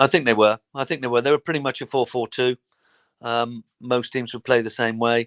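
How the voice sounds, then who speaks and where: On a very clean recording with a silent background, a man of medium pitch speaks at a fairly quick pace with fairly even intonation, the sound dry and close with no echo. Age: 60s. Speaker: former footballer. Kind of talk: interview. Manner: halting.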